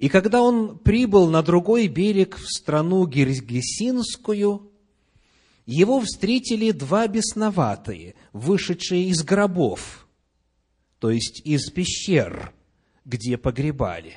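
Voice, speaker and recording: With a high pitch, a man makes very wide pitch swings. His pace is very slow, with long, frequent pauses. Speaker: pastor. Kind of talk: sermon. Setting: church.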